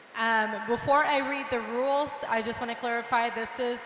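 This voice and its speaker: A woman talks at a fairly slow pace in a fairly high pitch. The recording has audible room echo and noticeable background noise. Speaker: contest host. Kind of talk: reading rules to contestants. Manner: repeats rules slowly.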